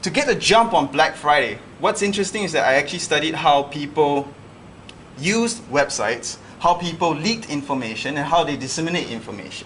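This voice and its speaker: Talking at a fairly quick pace, a man with a fairly high pitch and lively intonation is heard with audible room echo and noticeable background noise. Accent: American. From Singapore. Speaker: lecturer. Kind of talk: lecture. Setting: classroom.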